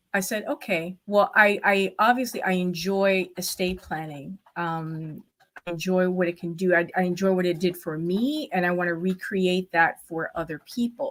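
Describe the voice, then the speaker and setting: In a Spanish accent, the speaker keeps a moderate pace with ordinary pitch variation. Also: woman, medium pitch for a woman. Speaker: estate planning lawyer. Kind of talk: podcast interview. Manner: animated.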